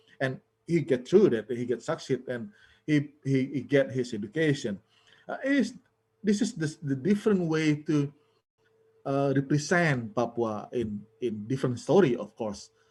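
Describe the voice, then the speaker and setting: A man with an Indonesian accent speaks at a moderate pace, somewhat breathy and fairly high-pitched, with lively intonation. He leaves long, frequent pauses, and the recording is very clean with a silent background. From Bali, Indonesia. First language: Balinese. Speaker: film scholar. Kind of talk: panel discussion. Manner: halting, many fillers and repetitions.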